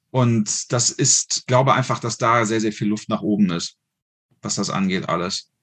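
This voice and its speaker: A man speaks at a moderate pace, sounding somewhat breathy. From Germany, Düsseldorf. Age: 40s. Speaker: firearms instructor and hunter. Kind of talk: casual interview.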